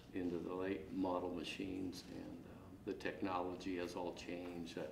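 Against noticeable background noise, a man with an American accent talks at a moderate pace in a very deep, low pitch with monotone, flat intonation. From northeast Kansas. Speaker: custom harvester. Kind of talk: interview. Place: empty room.

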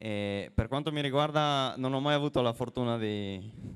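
A man talks at a fairly slow pace. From Friuli, Italy (Buia); Friuli, Italy. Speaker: professional cyclist; guest. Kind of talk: interview on stage. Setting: stage with audience. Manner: halting. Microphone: handheld.

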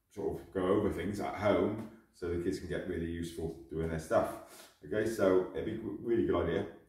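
The voice moves at a fairly quick pace with audible room echo. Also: man. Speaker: martial arts instructor. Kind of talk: tutorial. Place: gym.

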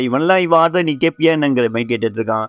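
Using a normal speaking voice with lively intonation, a man is heard in a dry, close sound with no echo. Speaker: anime story narrator. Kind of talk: casual anime episode recap.

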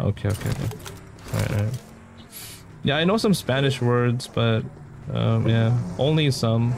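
Against noticeable background noise, a man speaks at a moderate pace with long, frequent pauses, a medium pitch, ordinary pitch variation and very even loudness. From Philippines. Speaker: gaming streamer. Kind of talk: live game stream commentary. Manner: animated. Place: home room.

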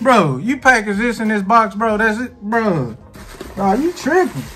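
Over faint background music, a man speaks at a fairly slow pace in a raised, projected voice. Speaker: vlogger. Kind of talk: casual vlog chat. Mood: amused, playfully indignant. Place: home room. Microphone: phone near.

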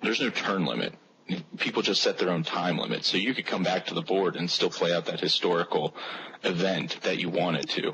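A man with a very deep, low voice talks at a fairly quick pace with lively intonation and very even loudness. Noticeable background noise is present. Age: 20s. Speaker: gaming panelist. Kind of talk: roundtable discussion.

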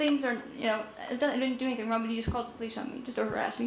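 A woman talks at a very fast pace in a high pitch, her intonation monotone and flat. Noticeable background noise and audible room echo fill the recording. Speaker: resident speaking at public comment. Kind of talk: public testimony at city council. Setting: city council meeting. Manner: halting, repetitive.

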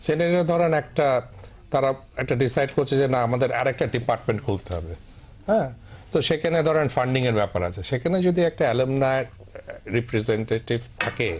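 Noticeable background noise sits behind a man whose medium-pitched voice has lively intonation. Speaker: industrialist and alumni association president. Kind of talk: panel discussion.

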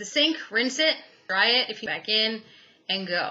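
Ordinary pitch variation from a woman speaking at medium pitch. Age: 30s. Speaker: YouTube product reviewer. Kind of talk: product review vlog. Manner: casual, candid. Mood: enthusiastic, frank. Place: home room. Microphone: webcam.

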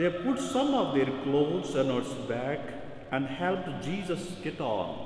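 At a very slow pace, a man talks over light background noise, with audible room echo. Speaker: priest. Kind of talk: scripture reading at mass. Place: church. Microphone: podium.

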